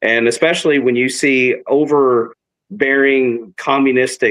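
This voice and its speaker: With a West Texas accent, a man speaks at a medium pitch with fairly even intonation. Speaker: city council member. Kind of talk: interview.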